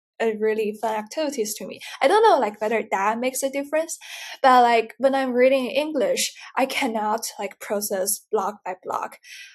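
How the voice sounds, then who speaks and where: A woman with a Mandarin accent speaks at a high pitch. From China. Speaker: podcast guest with dyslexia. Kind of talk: interview. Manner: hesitant, many fillers.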